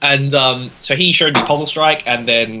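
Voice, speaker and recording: With an Australian accent, a man speaks at a medium pitch with ordinary pitch variation over noticeable background noise. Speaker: podcast panelist. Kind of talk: casual chat.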